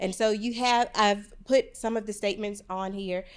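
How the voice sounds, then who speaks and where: In a very clean recording with a silent background, a woman's voice sits at a medium pitch. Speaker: nursing professor. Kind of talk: conference presentation. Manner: loud; fast.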